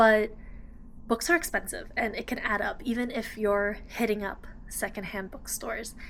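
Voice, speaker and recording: A woman speaks at a moderate pace in a fairly high voice. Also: ordinary pitch variation. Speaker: book vlogger. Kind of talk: casual vlog. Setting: library. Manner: whispering.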